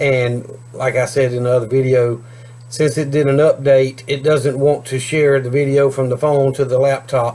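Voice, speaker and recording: A man talks at a moderate pace in a medium pitch. His intonation stays fairly even over noticeable background noise. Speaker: homesteading YouTuber. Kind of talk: casual vlog talk to camera. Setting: outdoors. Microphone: cheap camera, video freezes and skips words.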